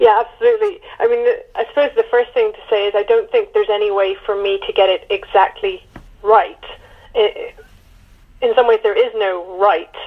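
With a British accent, a woman talks at a moderate speed. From UK. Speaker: author. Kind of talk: interview. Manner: halting.

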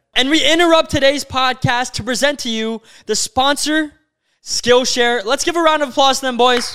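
A man speaks at an extremely high pitch, his voice raised and projected. His tone is animated and his pace moderate. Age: 20s. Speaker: podcast host. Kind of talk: casual chat.

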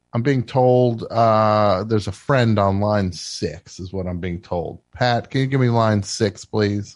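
An unremarkable speaking voice from a man, fairly low-pitched and fairly slow, with ordinary pitch variation over a quiet background. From New Jersey. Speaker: radio call-in show host. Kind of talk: call-in comedy show. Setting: studio.

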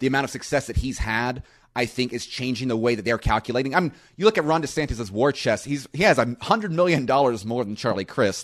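Over a quiet background, a man with an American accent talks very fast with lively intonation. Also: medium pitch for a man. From US South, Florida Panhandle. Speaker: economist. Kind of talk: interview.

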